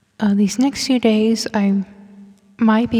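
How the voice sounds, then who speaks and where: Quietly, a woman speaks at a very slow pace in a monotone, flat intonation. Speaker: gameplay streamer. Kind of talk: casual gameplay commentary.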